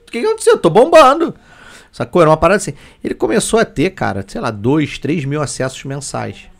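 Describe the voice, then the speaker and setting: In an animated tone, a man talks fairly quickly, his loudness swinging widely. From Petrópolis, Rio de Janeiro state, Brazil. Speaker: 3D graphic artist. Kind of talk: casual chat.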